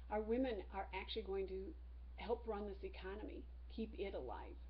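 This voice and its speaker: A woman talks at a moderate pace, with audible room echo. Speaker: teacher. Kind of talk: lecture.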